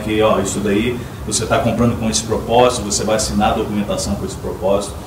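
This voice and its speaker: A man talking at a very fast pace with ordinary pitch variation, amid noticeable background noise and audible room echo. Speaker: mortgage loan officer. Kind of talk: panel debate. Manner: hesitant, many fillers.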